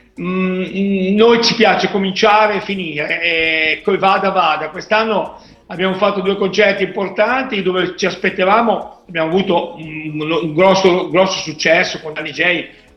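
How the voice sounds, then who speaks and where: A man with a high pitch speaks at a fairly slow pace, with audible room echo and noticeable background noise. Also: ordinary pitch variation. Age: 50s. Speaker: DJ and dance event organizer. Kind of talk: interview.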